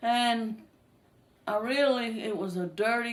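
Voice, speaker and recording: A woman talks with a Southern US accent. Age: 60s. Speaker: retired textile mill worker. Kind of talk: family interview, personal reminiscence. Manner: casual, slightly halting.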